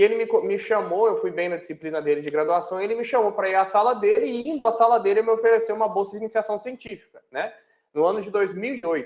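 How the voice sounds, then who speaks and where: A man's high-pitched voice in a São Paulo countryside accent, at a very fast pace with ordinary pitch variation. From interior of São Paulo state, Brazil. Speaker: university professor. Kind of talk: interview. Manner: hesitant, with fillers and self-corrections.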